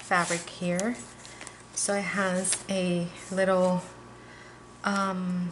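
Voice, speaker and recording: A woman's medium-pitched, monotone, flat voice at a very slow pace, with long, frequent pauses and noticeable background noise. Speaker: crafter selling handmade journals. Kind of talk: product flip-through video. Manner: casual with fillers.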